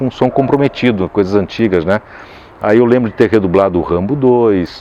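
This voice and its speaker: A man speaks with lively intonation. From Caxias do Sul, Brazil. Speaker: voice actor. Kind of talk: interview answer. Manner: casual, conversational.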